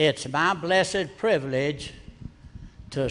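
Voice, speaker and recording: Noticeable background noise surrounds a man speaking with an American accent. His pitch variation is ordinary. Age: old. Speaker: pastor. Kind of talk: speech to congregation. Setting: church service.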